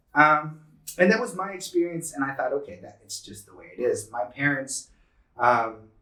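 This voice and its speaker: Here a man speaks with a Californian accent. His pitch variation is ordinary. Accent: Californian American. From San Diego, California. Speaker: tech executive. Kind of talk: interview. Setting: living room. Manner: casual. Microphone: poor audio.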